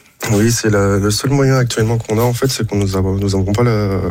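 Noticeable background noise sits behind a man with a fairly low pitch. He talks at a moderate pace with fairly even intonation. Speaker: mussel farmer. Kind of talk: interview.

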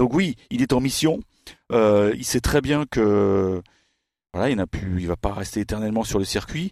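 A man's fairly low voice at a fairly slow pace, with long, frequent pauses, a dry, close sound without echo, and a very clean recording over a silent background. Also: ordinary pitch variation. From France. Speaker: tennis journalist. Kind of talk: casual chat.

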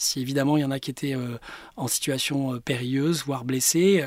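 A man with a fairly high-pitched, normal speaking voice. His intonation stays fairly even. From Paris, France. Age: 50s. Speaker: business executive. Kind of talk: interview.

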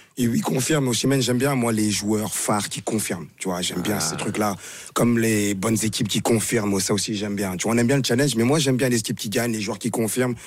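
Over noticeable background noise, a man talks at a very fast pace in a medium-pitched voice with ordinary pitch variation. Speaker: football pundit, former international player. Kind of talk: casual chat.

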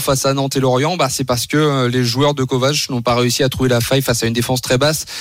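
A man with a plain, everyday voice, fairly high pitch, fairly even intonation, very even loudness and hardly any pauses. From France, Le Mans area. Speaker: football correspondent. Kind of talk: radio report and analysis.

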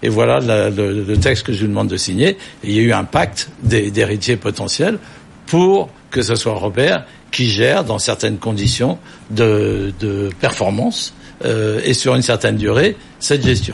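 Through noticeable background noise, a man with a fairly low pitch talks at a fairly slow pace. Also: ordinary pitch variation. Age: 70s. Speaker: company chairman. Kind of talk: studio interview.

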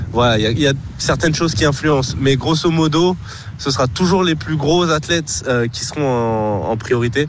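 A man talks with a fairly high pitch. The room echoes audibly, and background noise is noticeable. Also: ordinary pitch variation, moderate pace. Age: 30s. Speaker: hurdler, athlete. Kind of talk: radio interview.

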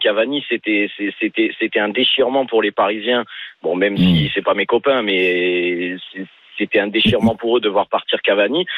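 A man talks in a normal speaking voice at medium pitch and a moderate pace. His loudness stays very even, with ordinary pitch variation. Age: 30s. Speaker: football supporter caller. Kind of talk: phone-in call.

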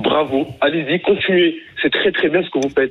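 A man speaks at a very fast pace in an animated tone while noticeable background noise plays behind him. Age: 20s. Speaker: young business owner, caller. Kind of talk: radio phone-in rant. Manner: animated, heated.

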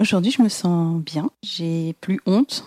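Recorded dry and close with no echo, a woman speaks at a fairly slow pace in a fairly low pitch with a dark, mellow tone. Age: 40s. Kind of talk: testimony. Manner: halting.

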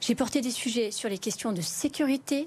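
A woman uses a normal speaking voice at a fairly high pitch. She keeps a moderate pace with ordinary pitch variation. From France, Lyon area (Vénissieux, Bron). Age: 40s. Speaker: member of parliament and nurse. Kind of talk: televised political debate.

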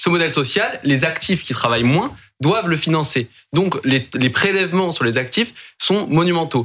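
A man's bright, sharp tone, with lively intonation at a moderate pace. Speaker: panel commentator. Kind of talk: interview.

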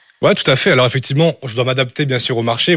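Words come at a very fast pace from this man. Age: 20s. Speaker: engineering student. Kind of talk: radio interview.

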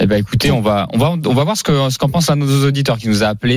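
A man talks at a very fast pace in a fairly high voice, with ordinary pitch variation. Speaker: radio host. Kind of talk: radio talk show.

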